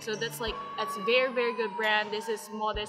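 Clear music plays in the background. A woman speaks at a moderate pace with ordinary pitch variation. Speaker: lifestyle vlogger. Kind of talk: casual vlog chat. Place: station. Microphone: phone near.

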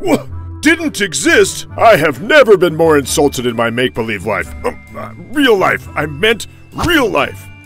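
Over clear music in the background, a man performs a put-on character voice at a fairly high pitch and a moderate pace. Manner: indignant, blustering.

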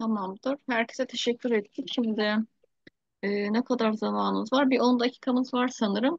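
A woman speaks at a moderate pace in an unremarkable speaking voice, fairly high-pitched, with very even loudness, fairly even intonation, a quiet background, and a dry sound with no echo. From Turkey. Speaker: teacher, project founder leading a video meeting; teacher. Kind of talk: online meeting, casual-formal chat. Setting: video call. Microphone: video call.

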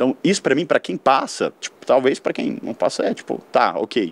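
This man speaks at a very fast pace, and the sound is dry with no echo. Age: 20s. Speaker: architect, leukemia survivor. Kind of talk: personal testimony. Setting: studio. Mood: reflective, warm. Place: studio. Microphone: studio mic.

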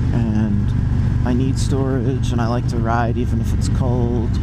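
The sound is dry with no echo, but loud background noise is present. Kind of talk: casual vlog chat. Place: motorbike.

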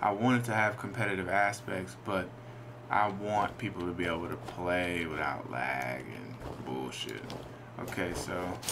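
There is noticeable background noise. A man speaks at a fairly slow pace with lively intonation. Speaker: indie game developer. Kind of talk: casual gameplay commentary.

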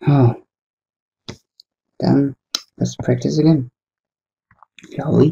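The voice is quiet and the pace very slow. Long, frequent pauses break up the speech. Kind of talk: casual commentary while drawing. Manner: quiet, low-key, unenthusiastic.

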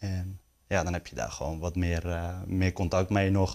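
Delivered at a moderate pace with monotone, flat intonation, the speech sits over a quiet background. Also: man. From Netherlands, North Holland (Stroet); North Holland, Netherlands. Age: 20s. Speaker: sports journalist. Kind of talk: interview. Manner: hesitant, many fillers. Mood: relaxed, friendly. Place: studio.

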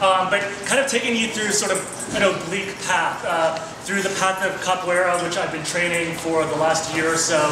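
A man talks at a fairly quick pace. Audible room echo and noticeable background noise come through. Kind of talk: presentation talk. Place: hall. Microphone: camera far.

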